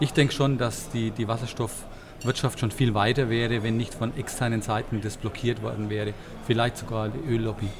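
Talking at a fairly quick pace, a man of medium pitch keeps his intonation fairly even, with audible room echo. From Bavaria. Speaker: fund manager. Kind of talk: interview. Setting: conference venue.

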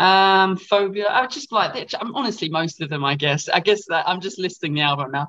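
With an Essex accent and a high pitch for a man, he speaks at a moderate pace with lively intonation and hardly any pauses. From Essex, England. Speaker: rock band frontman. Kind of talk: casual interview. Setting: video call. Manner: halting, many fillers.

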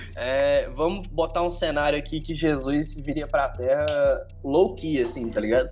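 The speaker goes at a fairly slow pace with hardly any pauses. Music plays in the background. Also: man. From Ceará, Northeast Brazil. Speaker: podcast co-host. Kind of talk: casual chat. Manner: animated.

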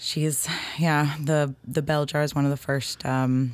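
Monotone, flat delivery with an American accent. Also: woman. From New Hampshire, US. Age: 20s. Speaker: poet. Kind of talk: interview.

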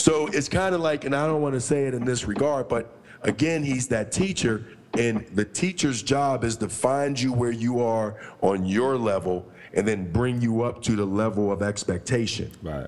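A man with a normal speaking voice talks at a moderate pace and medium pitch. His intonation is lively. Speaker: podcast co-host. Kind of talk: casual chat.

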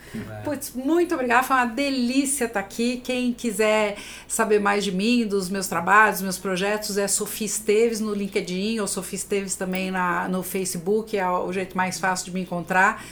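In an ordinary speaking voice, a woman talks at medium pitch and a moderate pace, with ordinary pitch variation and hardly any pauses. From Brazil, São Paulo (Itaquera). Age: 50s. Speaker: HR business founder. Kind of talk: podcast interview.

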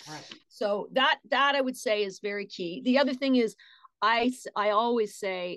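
With a plain, everyday voice and lively intonation, a woman talks at a moderate pace against a quiet background. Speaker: voice actress. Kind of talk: casual interview chat.

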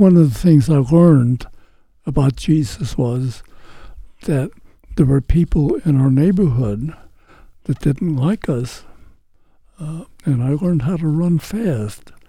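A man with a somewhat breathy, dark, mellow, fairly high voice speaks fairly slowly with lively intonation and long, frequent pauses. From St. Louis, US Midwest. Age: 90s. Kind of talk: interview telling testimony.

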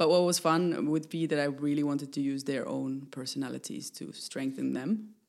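Fairly even intonation at a moderate pace, with hardly any pauses. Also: woman, very deep, low pitch for a woman. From Finland. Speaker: choreographer and theater maker. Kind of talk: casual interview. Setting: at her home.

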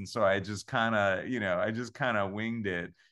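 Against a quiet background, a man with an ordinary speaking voice talks at a moderate pace, with fairly low pitch and fairly even intonation. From Long Island, New York. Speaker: musical theater composer. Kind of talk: interview.

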